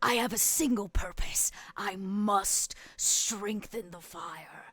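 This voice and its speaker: Using a put-on character voice, a woman growls and bellows at a medium pitch and a fairly slow pace. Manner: growling, roaring.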